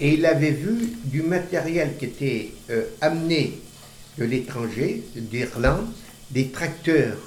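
A man at a fairly high pitch, very slow pace and lively intonation, with long, frequent pauses, noticeable background noise and audible room echo. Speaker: grandfather recounting childhood memories. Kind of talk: casual chat. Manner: halting.

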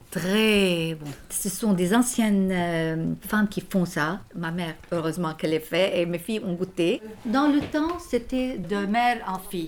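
A woman talks very slowly with ordinary pitch variation while noticeable background noise runs behind her. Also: medium pitch for a woman. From Lebanon. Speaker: homemaker and mother. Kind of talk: casual chat.

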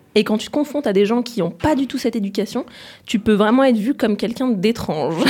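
A woman's fairly high, somewhat breathy voice with a dark, mellow tone, very fast pace and ordinary pitch variation. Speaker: former student. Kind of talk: casual chat.

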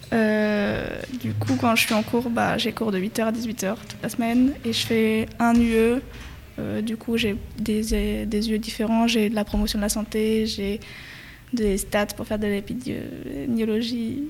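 Speaking at a very slow pace, a woman keeps a monotone, flat intonation. Her pitch sits fairly high. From France, Perche region. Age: 20s. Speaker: public health master's student. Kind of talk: casual interview.

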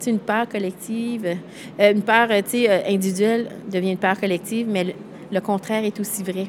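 Noticeable background noise sits behind a woman speaking at a medium pitch in a Quebec accent. Her intonation is flat and monotone, with long, frequent pauses. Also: moderate pace. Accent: Québécois French. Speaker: event founder. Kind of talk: interview.

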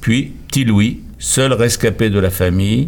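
A man's fairly low voice with vocal fry, at a very slow pace. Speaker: novelist and playwright. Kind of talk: interview. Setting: studio. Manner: formal.

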